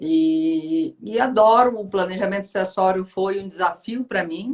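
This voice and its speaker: A woman with a Pará accent speaks at a fairly slow pace, her medium pitch moving with lively intonation. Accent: northern Brazilian (Pará). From Brazil, Pará (North). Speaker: law professor and lawyer. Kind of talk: live-stream interview.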